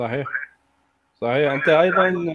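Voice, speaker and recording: A man with a high-pitched voice speaks with ordinary pitch variation. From Iraq. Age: 40s. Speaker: atheist commentator, refugee aid worker. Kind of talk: casual online discussion.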